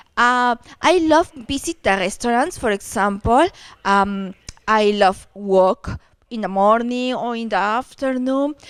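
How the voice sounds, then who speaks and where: Lively intonation comes through in a Peruvian accent, with a dry, close sound and no echo. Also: woman, fairly high pitch for a woman. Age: 40s. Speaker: dating agency client. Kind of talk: video introduction interview. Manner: halting.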